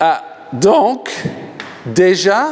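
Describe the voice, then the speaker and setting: Noticeable background noise sits behind a man speaking in an animated tone. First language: English (speaking French). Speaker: pastor, healing evangelist. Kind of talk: sermon.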